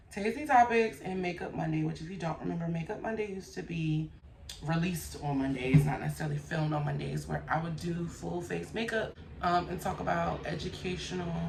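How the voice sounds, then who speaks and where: A woman talks at a moderate pace. Noticeable background noise and audible room echo come through the recording. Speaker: YouTube commentary host. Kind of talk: casual vlog chat. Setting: hotel room. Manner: casual, rambling.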